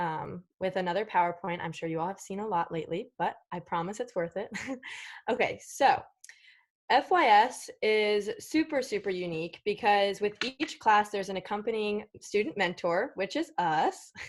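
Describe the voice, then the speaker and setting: This woman has an unremarkable speaking voice at a medium pitch, with lively intonation and a moderate pace against a quiet background. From Virginia, Winchester. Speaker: student mentor. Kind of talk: presentation.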